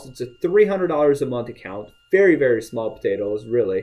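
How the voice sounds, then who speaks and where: Lively intonation and a fairly quick pace in an ordinary speaking voice, a man's, fairly high in pitch. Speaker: radio advertising sales rep / sales trainer. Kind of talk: sales training pep talk, casual talk to camera. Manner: upbeat, conversational, motivational.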